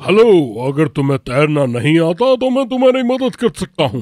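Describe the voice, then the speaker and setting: A man puts on a cartoonish character voice at a high pitch. His pitch swings very widely at a moderate pace. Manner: smooth, coaxing.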